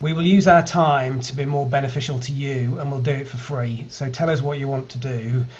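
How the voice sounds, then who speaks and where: A man's fairly high voice in a British accent, fairly quick and fairly even, with hardly any pauses and audible room echo. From UK. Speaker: data analytics company founder. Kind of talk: online meetup presentation.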